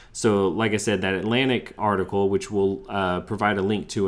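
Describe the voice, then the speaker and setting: Recorded very cleanly with a silent background, a man with an American accent speaks in an ordinary speaking voice at a fairly low pitch. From US South. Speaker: sports podcast host. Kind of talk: casual chat.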